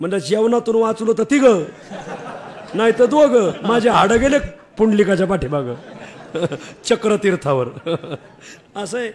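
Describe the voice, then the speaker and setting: A man with a high voice and lively intonation talks while background noise is clearly present. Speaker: kirtan preacher. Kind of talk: kirtan sermon with storytelling.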